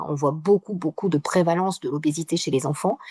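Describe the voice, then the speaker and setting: Her sound is dry and close with no echo as a woman with a dark, mellow tone speaks at a fairly quick pace with ordinary pitch variation. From southern France, Mediterranean. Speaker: geographer. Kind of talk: interview. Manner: fast, with many hesitations.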